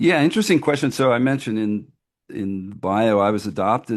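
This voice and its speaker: In a very clean recording with a silent background, a man with a normal speaking voice talks at a medium pitch with ordinary pitch variation. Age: 60s. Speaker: literacy nonprofit founder. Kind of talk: interview. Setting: podcast interview. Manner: conversational with frequent fillers.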